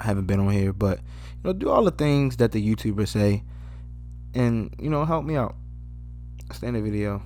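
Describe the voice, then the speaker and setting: With music in the background, a man with a fairly low pitch speaks at a moderate pace, his voice making very wide pitch swings. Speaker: photography YouTuber. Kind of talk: casual vlog talk to camera. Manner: halting, stumbling over words.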